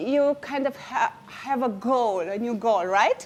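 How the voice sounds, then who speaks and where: A woman's high-pitched voice with a Romanian accent, at a fairly slow pace. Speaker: inspirational speaker. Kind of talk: inspirational speech. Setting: stage with audience. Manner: halting.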